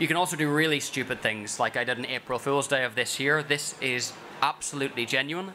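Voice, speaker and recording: A man with a Northern Irish accent at a very fast pace, fairly even intonation, and noticeable background noise. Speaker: food company director. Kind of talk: conference talk.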